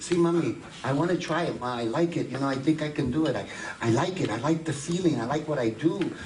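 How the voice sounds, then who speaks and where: Over noticeable background noise, a man talks at a fairly quick pace in a fairly high pitch with ordinary pitch variation. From East Harlem, New York City. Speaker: actor and voiceover artist. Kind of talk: interview answer. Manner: lively, switches between English and Spanish.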